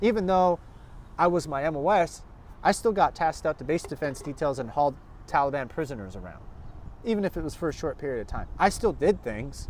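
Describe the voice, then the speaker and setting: Speaking with an American accent at a fairly quick pace, a man with a fairly high pitch uses lively intonation and some vocal fry. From Minnesota. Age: 30s. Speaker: army veteran. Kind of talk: casual chat. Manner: halting.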